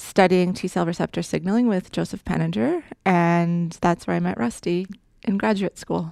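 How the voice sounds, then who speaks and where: In a very clean, dry, close recording with a silent background and no echo, a woman with a Canadian accent uses an ordinary speaking voice, fairly low in pitch, at a fairly quick pace. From Saskatchewan, Canada. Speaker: immunology researcher. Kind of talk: interview.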